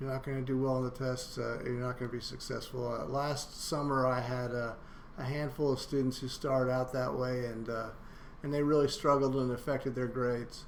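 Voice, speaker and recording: Audible room echo surrounds a man with a medium-pitched voice who speaks at a moderate pace in a monotone with flat intonation. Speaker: college instructor. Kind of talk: lecture. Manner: halting, many fillers.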